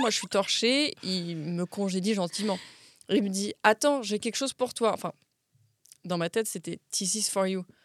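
A woman's medium-pitched, unremarkable speaking voice with ordinary pitch variation at a fairly quick pace, dry and close with no echo on a very clean recording with a silent background. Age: 20s. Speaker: actress and model. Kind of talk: casual chat.

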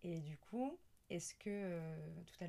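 A woman talks with a fairly low pitch and a dark, mellow tone. Her voice is somewhat breathy. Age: 30s. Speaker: podcast host. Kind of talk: casual interview. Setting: indoors at home.

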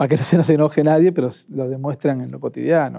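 In a very clean recording with a silent background, a man speaks in a monotone, flat intonation, his fairly high pitch paired with a dark, mellow tone. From Argentina, Avellaneda (Buenos Aires). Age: 30s. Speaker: trade unionist. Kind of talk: casual chat.

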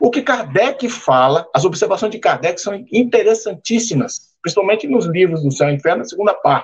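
With very wide pitch swings, a man talks at a moderate pace in a high voice. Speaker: civil engineer. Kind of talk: panel discussion. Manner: direct, blunt.

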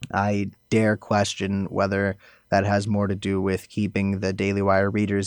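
An American accent comes from a man with a fairly low pitch at a moderate pace. The recording is very clean with a silent background. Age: young. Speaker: activist. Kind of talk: casual chat.

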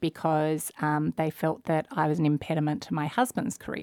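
In a dry, close recording with no echo, a woman with an Australian accent speaks fairly quickly at a very deep, low pitch. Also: very clean recording, silent background. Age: 40s. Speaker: entrepreneur, finance company founder. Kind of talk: interview.

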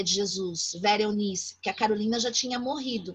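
A woman with a bright, sharp tone speaks at a moderate pace with ordinary pitch variation. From São Paulo, Brazil (east periphery, São Mateus). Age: 40s. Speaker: professor. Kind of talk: interview.

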